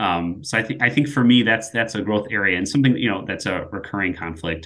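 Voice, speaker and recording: A man's plain, everyday voice with an American accent, fairly low pitch and ordinary pitch variation. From US Midwest. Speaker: project manager. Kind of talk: casual chat.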